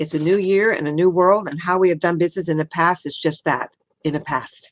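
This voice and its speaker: A woman's plain, everyday voice, fairly low in pitch, at a fairly quick pace with fairly even intonation and a dry, close sound free of echo. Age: 60s. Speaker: retail merchant and sales trainer. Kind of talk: workshop talk.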